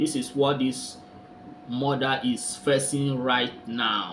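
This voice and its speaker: Against noticeable background noise, a man speaks at a fairly high pitch. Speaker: commentary vlogger. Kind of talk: casual talk to camera.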